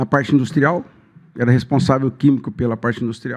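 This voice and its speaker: Quiet background and a man talking fairly quickly. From Ribeirão Preto region, São Paulo state, Brazil. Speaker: rural union president, cooperative candidate. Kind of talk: podcast interview. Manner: halting.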